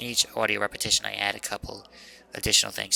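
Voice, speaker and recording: Noticeable background noise accompanies this recording. A man talks at a very fast pace. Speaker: college student. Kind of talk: casual project commentary. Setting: poppy test microphone.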